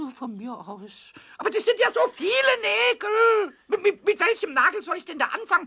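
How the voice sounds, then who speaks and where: A man's put-on character voice at an extremely high pitch, delivered at a moderate pace. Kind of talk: children's audio drama dialogue. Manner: playful, stammering, fast.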